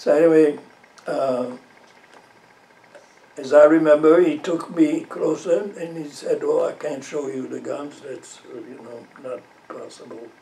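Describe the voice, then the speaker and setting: Amid noticeable background noise, a man speaks fairly slowly with big swings in loudness and long, frequent pauses. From southern Belgium, French-speaking. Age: 90s. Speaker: elderly interviewee, war memories. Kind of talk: interview. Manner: halting, many fillers and repetitions.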